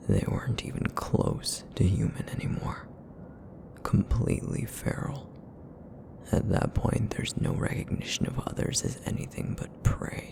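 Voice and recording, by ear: Using a put-on character voice, a man speaks at a moderate pace and medium pitch in a raspy, rumbling tone.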